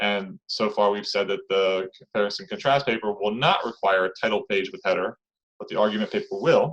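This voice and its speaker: Talking at a fairly quick pace, a man with a fairly low pitch uses ordinary pitch variation. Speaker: college instructor. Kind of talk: online class lecture. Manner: fast.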